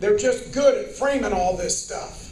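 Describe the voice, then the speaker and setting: An animated man with an American accent and an extremely high pitch, at a moderate pace, with audible room echo. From Southern Indiana. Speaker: political candidate. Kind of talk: campaign rally speech. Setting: stage at a union rally with audience.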